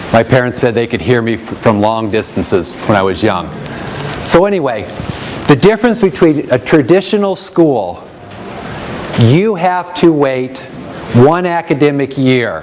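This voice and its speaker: Against noticeable background noise, a man speaks loudly at a medium pitch and moderate pace, with very wide pitch swings and long, frequent pauses. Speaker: education program representative. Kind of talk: presentation to an audience. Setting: room with live audience, no microphone.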